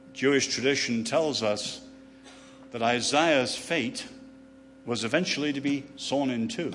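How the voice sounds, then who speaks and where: Long, frequent pauses mark a man's fairly slow delivery in an English accent, his fairly high pitch showing ordinary variation amid audible room echo. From England. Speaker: author and speaker. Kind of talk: lecture. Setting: stage with audience.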